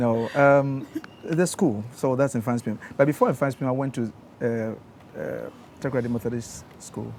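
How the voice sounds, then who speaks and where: A moderate pace and fairly even intonation, in a Ghanaian accent. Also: man, medium pitch for a man. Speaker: engineer. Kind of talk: interview. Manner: soft-spoken; gentle.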